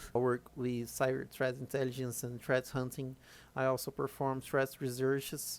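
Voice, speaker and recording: Speaking at a moderate pace, a man with a fairly high pitch for a man talks with a non-native accent. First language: not English. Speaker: cybersecurity threat intelligence analyst. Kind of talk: technical tutorial. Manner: halting, many fillers and repeats.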